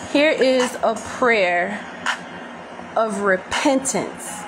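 There is noticeable background noise. Over it, a woman talks. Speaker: religious vlogger leading prayer. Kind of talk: fervent prayer. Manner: earnest, pleading, fervent. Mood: emotional, fervent. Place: home room. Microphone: phone near.

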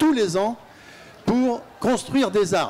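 A man's voice at a very slow pace, with ordinary pitch variation. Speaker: audience member, peace activist. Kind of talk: audience question. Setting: audience at a festival debate. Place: hall. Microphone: handheld.

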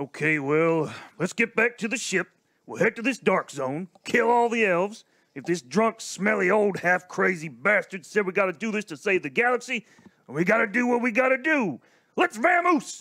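A man performs a put-on character voice, drawling at a moderate pace with a high pitch and very wide pitch swings. His voice is raised and projected, and the sound is dry and close with no echo. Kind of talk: comic western drawl. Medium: audio drama. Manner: drawling, folksy.

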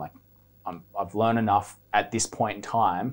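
In an Australian accent, a man talks at a fairly quick pace and a fairly low pitch against a quiet background. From Australia, Byron Bay. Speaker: professional surfer. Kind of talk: casual chat. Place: studio. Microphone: lapel.

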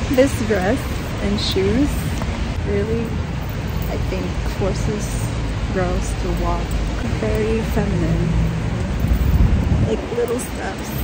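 A woman speaks at a very slow pace with long, frequent pauses. Loud background noise fills the dry recording, which has no echo. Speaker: travel vlogger. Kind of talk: casual vlog chat. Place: street. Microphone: phone near.

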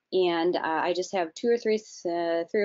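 This woman talks at a moderate pace in a normal speaking voice, her pitch varying in an ordinary way. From Chicago, US Midwest. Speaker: aviation safety outreach host. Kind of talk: webinar presentation and Q&A moderation.

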